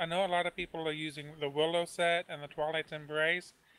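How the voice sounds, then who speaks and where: High-pitched and bright with a sharp tone, a man's voice stays monotone and flat. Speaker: gamer. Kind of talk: briefing. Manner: fast.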